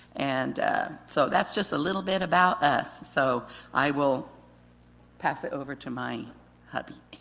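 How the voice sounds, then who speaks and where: At a fairly slow pace with long, frequent pauses, the speech carries audible room echo. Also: woman, very deep, low pitch for a woman, ordinary pitch variation. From Guatemala. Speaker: missionary wife. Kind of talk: testimony. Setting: church.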